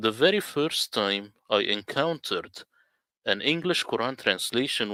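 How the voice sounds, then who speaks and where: A man talks at a fairly slow pace with ordinary pitch variation and a bright, sharp tone. The very clean recording has a silent background and a dry, close sound with no echo. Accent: Arabic. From Middle East. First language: Arabic. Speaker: Quran translator. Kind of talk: presentation.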